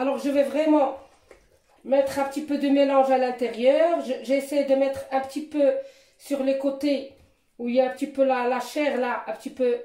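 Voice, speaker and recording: In a high, monotone voice with flat intonation, a woman speaks with long, frequent pauses. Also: moderate pace. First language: Moroccan Arabic (speaking French). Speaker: cooking youtuber. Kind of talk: cooking tutorial. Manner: halting.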